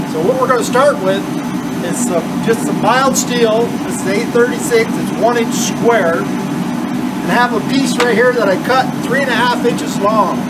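A man at a fairly slow pace over loud background noise. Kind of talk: tutorial. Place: workshop. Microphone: camera far.

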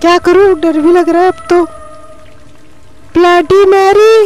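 Clear background noise sits behind a cartoonish character voice. The pace is moderate.

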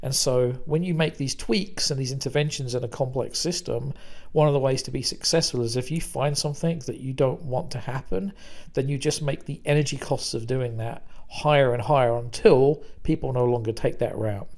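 Somewhat breathy, a man talks with a British accent and ordinary pitch variation. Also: medium pitch for a man, moderate pace. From Britain. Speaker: business consultant. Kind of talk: conference presentation.

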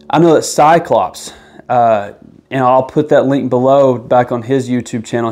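A man's fairly even intonation over faint background music. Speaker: gear reviewer. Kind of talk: product review talk. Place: empty room.

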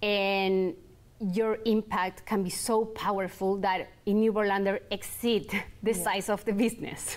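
In a Chilean accent, a woman speaks at a fairly slow pace and medium pitch, monotone and flat, with very even loudness. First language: Spanish. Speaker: entrepreneur, clothing brand founder; guest. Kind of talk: interview. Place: studio.

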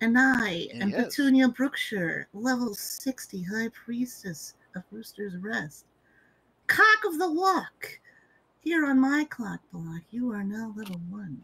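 The voice moves in very wide pitch swings and big swings in loudness. The pace is fairly slow. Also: woman, fairly high pitch for a woman. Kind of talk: role-play improv, mock formal. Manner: pompous, commanding.

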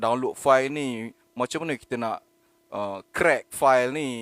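The man's voice sits at a medium pitch with fairly even intonation. He talks at a fairly slow pace, and the sound is dry and close with no echo. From Malaysia, Penang. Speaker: online content creator. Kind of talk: solo live monologue. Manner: spontaneous, hesitant with fillers.

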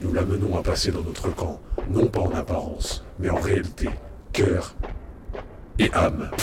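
Speaking at a fairly slow pace with long, frequent pauses, a man uses a very deep, low pitch, fairly even intonation and a solemn, menacing tone over noticeable background noise. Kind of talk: literary audiobook reading of a dystopian novel excerpt. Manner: slow, solemn, measured delivery with cold menacing gravity; deliberate and ominous, with heavy pauses between the short sentences.

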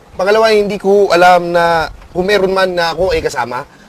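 Noticeable background noise sits under a man talking at a high pitch with ordinary pitch variation. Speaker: prison inmate. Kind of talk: interview. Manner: halting.

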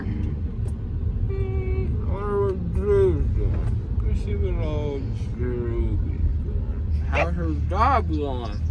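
A man talks at a very slow pace, with a dry sound and no echo. Loud background noise runs behind him. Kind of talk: casual vlog chat. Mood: groggy, drowsy, loopy. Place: car. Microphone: phone near.

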